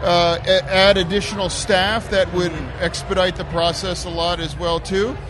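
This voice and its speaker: Against noticeable background noise, a man with a high pitch talks in a monotone with flat intonation and hardly any pauses. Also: moderate pace. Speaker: state politician. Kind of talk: casual interview at event. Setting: live event, noisy gala.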